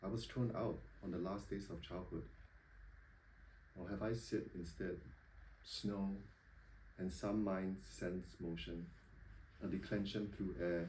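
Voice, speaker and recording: A man speaks at a fairly slow pace with a very deep, low pitch, vocal fry and a dark, mellow tone. Audible room echo surrounds his voice. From Singapore. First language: not English. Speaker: poet. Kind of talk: poetry reading. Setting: bookshop reading with audience. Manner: hesitant, many ums when talking.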